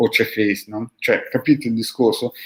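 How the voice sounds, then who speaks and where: A man speaks at a fairly quick pace and medium pitch. The recording is very clean, with a silent background. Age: 50s. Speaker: esoteric practitioner, channel host. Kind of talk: video monologue answering followers' questions. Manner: animated.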